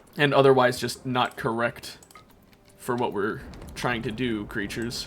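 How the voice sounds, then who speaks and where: Over noticeable background noise, a man speaks at a fairly slow pace with a medium pitch and fairly even intonation. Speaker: video game streamer. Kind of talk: live gameplay commentary. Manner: casual, halting.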